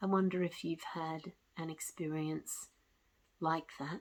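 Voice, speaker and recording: A woman with a fairly low voice and vocal fry speaks in a calm tone with ordinary pitch variation. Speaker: spiritual storyteller. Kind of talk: personal testimony. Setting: at home with cat. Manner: calm, reflective.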